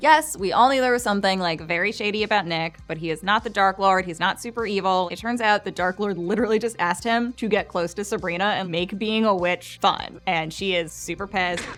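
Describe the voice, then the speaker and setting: A woman speaks at a fairly quick pace with hardly any pauses. Her pitch is medium, with ordinary variation. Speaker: entertainment video host. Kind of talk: scripted recap narration. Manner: fast; casual, uses filler like.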